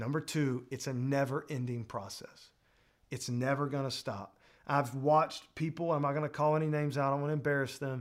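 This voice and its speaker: On a very clean recording with a silent background, a man talks at a fairly quick pace and fairly high pitch. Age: 30s. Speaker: preacher. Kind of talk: sermon. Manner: animated.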